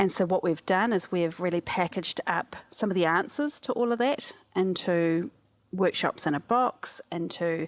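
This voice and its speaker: A woman with a New Zealand accent at a moderate pace, her fairly low pitch in a dry, close sound with no echo. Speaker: cognitive scientist and disaster relief specialist. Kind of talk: podcast interview.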